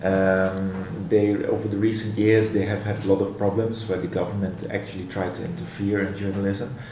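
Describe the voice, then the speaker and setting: A man with a Dutch accent, fairly low in pitch and fairly even in intonation, at a moderate pace with hardly any pauses, over audible room echo and noticeable background noise. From Netherlands. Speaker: professor. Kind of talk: interview. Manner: halting.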